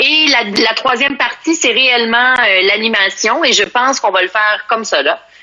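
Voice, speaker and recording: A woman with a Quebec accent, fairly high in pitch, at a moderate pace with lively intonation. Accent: Québécois French. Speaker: sommelier and entrepreneur. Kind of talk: casual interview. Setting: Instagram live video call from home. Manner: animated.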